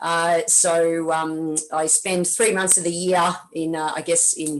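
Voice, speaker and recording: This woman has an Australian accent. She talks with a fairly low pitch. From Melbourne, Australia. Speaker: tennis coach and presenter. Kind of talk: webinar presentation. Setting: video call from a hotel room. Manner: energetic.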